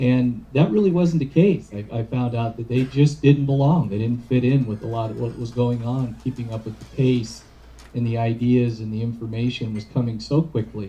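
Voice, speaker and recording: A man's somewhat breathy, dark, mellow voice at a medium pitch, with ordinary pitch variation and a moderate pace. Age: 60s. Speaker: addiction treatment professional. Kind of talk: lecture. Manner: halting.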